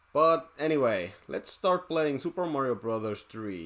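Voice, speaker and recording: A man with a Finnish accent, very wide pitch swings and a moderate pace, amid noticeable background noise. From Finland. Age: 30s. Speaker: gaming YouTuber. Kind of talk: let's play commentary. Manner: halting.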